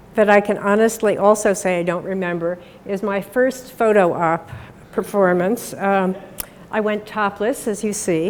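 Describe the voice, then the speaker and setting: Amid noticeable background noise, a woman with an American accent speaks at medium pitch with ordinary pitch variation. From Pennsylvania. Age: 70s. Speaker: invited speaker. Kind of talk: public talk.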